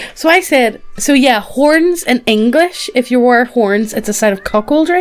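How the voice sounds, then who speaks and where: A woman with a Northern Irish accent, high pitch, lively intonation, very even loudness and a fairly slow pace over music in the background. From Northern Ireland. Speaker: podcast co-host. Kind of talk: casual chat.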